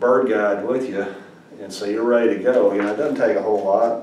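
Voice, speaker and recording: Light background noise and audible room echo surround a man speaking at a moderate pace, his fairly low voice held in fairly even intonation. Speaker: amateur birding instructor. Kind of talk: casual tutorial talk. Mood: earnest anecdote. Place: home room. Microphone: camera far.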